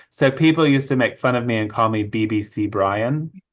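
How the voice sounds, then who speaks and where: A man speaks with a slight British accent, medium pitch and ordinary pitch variation. The background is quiet. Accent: slight British hint. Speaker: author and witchcraft initiate. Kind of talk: interview. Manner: conversational with fillers.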